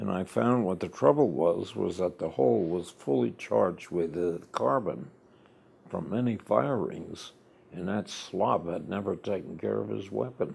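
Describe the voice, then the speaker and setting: Very deep and low with vocal fry, a man's voice moves in very wide pitch swings at a fairly slow pace, in an American accent. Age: 90s. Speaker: war veteran. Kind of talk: oral history interview.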